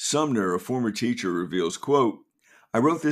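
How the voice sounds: Lively intonation in a natural reading voice, set against a quiet background.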